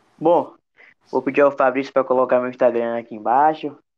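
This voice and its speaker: The intonation stays monotone and flat. It belongs to a man. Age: 20s. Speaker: futsal performance analyst. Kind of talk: podcast interview.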